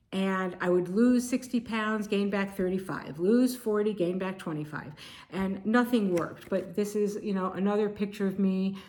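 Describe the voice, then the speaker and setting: With audible room echo, a woman talks at a moderate pace in a medium pitch with ordinary pitch variation. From Connecticut, US. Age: 60s. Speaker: video blogger. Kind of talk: personal testimony.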